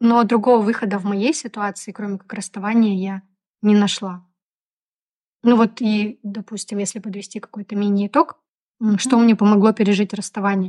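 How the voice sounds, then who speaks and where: In a dry, close sound with no echo and a quiet background, a woman at a medium pitch speaks at a moderate pace in a monotone, flat intonation, with long, frequent pauses. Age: 30s. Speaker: podcast co-host. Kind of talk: casual chat.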